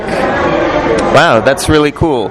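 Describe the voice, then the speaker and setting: With music in the background, a man's fairly high voice shifts in pitch in an ordinary way. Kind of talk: interviewer questions.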